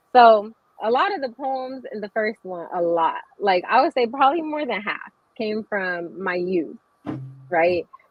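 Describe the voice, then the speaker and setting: A woman with an American accent speaks at a fairly slow pace, her pitch swinging very widely. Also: fairly high pitch for a woman. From US, military family. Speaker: poet and author. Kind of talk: casual chat.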